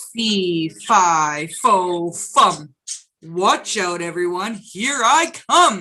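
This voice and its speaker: A woman puts on a character voice at medium pitch, bellowing and booming. She speaks at a very slow pace. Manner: roaring, booming.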